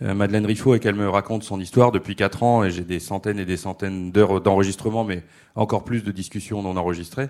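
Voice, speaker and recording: Here is a man with an unremarkable speaking voice. His pitch is fairly low and his intonation fairly even. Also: very clean recording, silent background. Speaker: comics writer. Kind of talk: panel talk at a festival. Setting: stage with audience.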